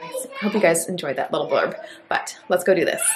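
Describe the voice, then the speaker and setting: Noticeable noise is heard in the background. A woman talks over it. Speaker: home makeover vlogger. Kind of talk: casual vlog chat. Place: home room. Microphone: phone near.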